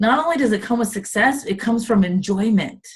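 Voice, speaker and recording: The woman's voice is somewhat breathy. Her pitch shows ordinary variation. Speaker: direct sales consultant giving training. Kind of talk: live video training chat. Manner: animated, casual.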